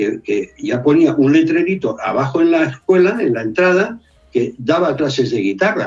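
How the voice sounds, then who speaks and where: A man speaks at a fairly slow pace. His pitch is high for a man and swings very widely. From Brazil. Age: 60s. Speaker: music therapist and musician. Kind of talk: interview conversation. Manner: animated.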